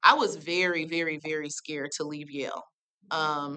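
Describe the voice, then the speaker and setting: Loud and with a bright, sharp tone, a woman talks at a fairly low pitch with an American accent. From US Northeast, New Haven, Connecticut. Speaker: nonprofit arts program director. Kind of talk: panel talk. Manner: animated.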